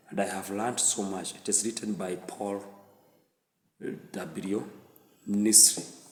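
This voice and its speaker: A man's fairly low voice at a very slow pace, with audible room echo. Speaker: book reviewer. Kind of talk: book review monologue.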